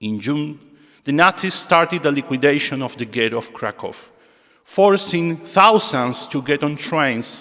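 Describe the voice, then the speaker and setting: A man's fairly high voice with lively intonation, moving at a fairly slow pace. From Argentina. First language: Spanish. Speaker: synagogue musician and presenter. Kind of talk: spoken introduction at a concert. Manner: halting.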